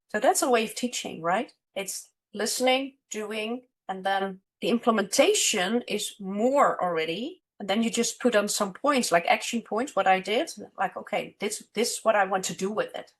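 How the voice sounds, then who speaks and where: With a Dutch accent, a woman speaks at a moderate pace. Her pitch is fairly high, with ordinary pitch variation. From Netherlands, Amsterdam. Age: 50s. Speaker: money and business mentor. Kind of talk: casual interview chat.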